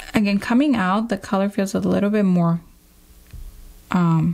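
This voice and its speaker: With a Spanish accent, the speaker keeps a moderate pace. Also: woman. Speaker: nail artist and educator. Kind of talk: product review tutorial. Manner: casual, chatty.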